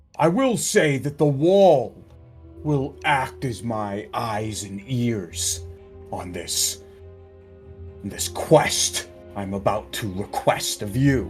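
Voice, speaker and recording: A man does a put-on character voice at medium pitch, swinging very widely in pitch at a very slow pace with long, frequent pauses. Clear music plays in the background. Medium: actual play. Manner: measured, formal.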